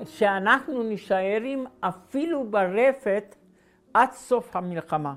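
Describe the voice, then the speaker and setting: A woman talks very slowly, her voice fairly high in pitch. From Slovakia, Galanta. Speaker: Holocaust survivor. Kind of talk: testimony. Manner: halting.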